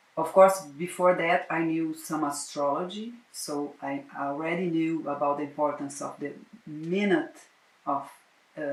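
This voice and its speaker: A woman with a very deep, low pitch and fairly even intonation at a fairly slow pace, with long, frequent pauses, audible room echo and noticeable background noise. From Brazil. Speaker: psychotherapist and astrologer. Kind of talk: interview. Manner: halting, frequent repetitions.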